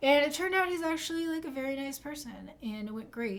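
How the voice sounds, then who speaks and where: The speaker is mumbling. The pace is moderate. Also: woman. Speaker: gaming streamer. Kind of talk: casual chat. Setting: live stream.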